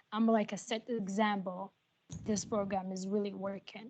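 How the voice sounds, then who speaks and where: Speaking with an Arabic accent, a woman has a dark, mellow tone at medium pitch. Her intonation is monotone and flat. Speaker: nursing student and patient care assistant. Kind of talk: testimony at a roundtable. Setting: video call. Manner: halting, many fillers.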